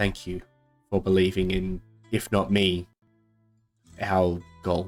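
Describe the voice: A man's put-on character voice, very deep and low, flat and monotone at a fairly slow pace, with faint music in the background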